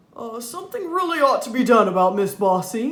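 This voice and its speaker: Someone puts on a character voice, fairly high in pitch and at a fairly quick pace. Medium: read story. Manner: calm, gently wry.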